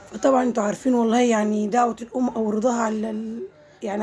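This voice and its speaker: At a very fast pace, a woman speaks with a fairly high pitch. Noticeable background noise can be heard. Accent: Egyptian. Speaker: vlogger. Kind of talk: casual vlog narration. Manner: halting, many fillers.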